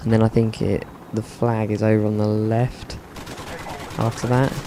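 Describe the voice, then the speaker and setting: A man with a British accent speaks in a monotone, flat intonation against noticeable background noise. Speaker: gaming video commentator. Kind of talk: gameplay commentary. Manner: dry, deadpan humour.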